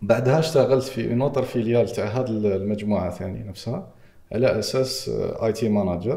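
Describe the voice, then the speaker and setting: A man speaks in a dark, mellow tone, somewhat breathy, with ordinary pitch variation. Room echo is audible. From Algeria. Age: 30s. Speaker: entrepreneur and AI/e-commerce expert; podcast guest. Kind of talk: podcast interview; interview answer. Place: studio.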